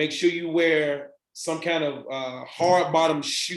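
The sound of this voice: In a room with audible echo, a man speaks slowly in a fairly high pitch with fairly even intonation.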